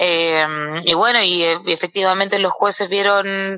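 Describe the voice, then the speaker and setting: A woman's monotone, flat delivery in a dry, close recording with no echo. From southern Chile, Valdivia. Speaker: professional boxer. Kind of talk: interview. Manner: halting.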